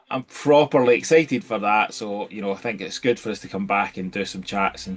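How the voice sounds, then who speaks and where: A man speaks with a strong Scottish accent at a fairly quick pace. His pitch is fairly low. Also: ordinary pitch variation. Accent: thick Scottish. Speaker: toy collecting video co-host. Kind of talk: casual chat.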